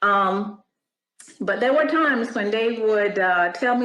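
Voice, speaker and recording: A woman at a fairly slow pace. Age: 60s. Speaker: retired professional, mentor with doctorate. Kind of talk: interview testimony.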